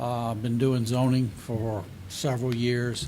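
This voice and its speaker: An American-accented man speaks at a fairly slow pace, his medium pitch carrying a dark, mellow tone and fairly even intonation. Audible room echo surrounds his voice. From Beaufort area, South Carolina. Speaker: board applicant, former zoning official. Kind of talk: interview. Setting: council meeting.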